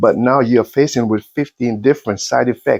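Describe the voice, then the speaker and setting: A man speaks at a fairly quick pace and medium pitch in a plain, everyday voice. The sound is dry and close, with no echo. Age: 60s. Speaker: motivational vlogger. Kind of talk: motivational monologue.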